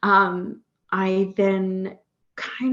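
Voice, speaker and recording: A woman talks in an Australian accent. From Australia, near Sydney. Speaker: career coach. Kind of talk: podcast interview. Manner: many filler words, hesitant.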